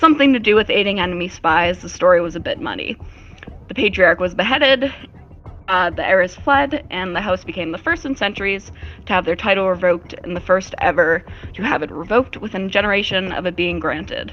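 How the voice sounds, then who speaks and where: Over music in the background, a woman with a medium pitch talks at a fairly quick pace with lively intonation. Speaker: tabletop game master. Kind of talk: fantasy narration for tabletop roleplay. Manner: shaky, sounds close to crying when nervous.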